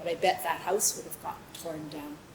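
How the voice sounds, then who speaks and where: A woman speaks at a moderate pace with fairly even intonation, with audible room echo and noticeable background noise. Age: 70s. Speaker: storyteller. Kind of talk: personal storytelling on stage. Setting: stage with audience.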